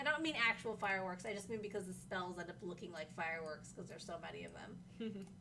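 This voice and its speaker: The speaker talks at a fairly quick pace with ordinary pitch variation. Audible room echo is present. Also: woman. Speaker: livestream host, game community manager. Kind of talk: casual livestream chat. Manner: not very loud.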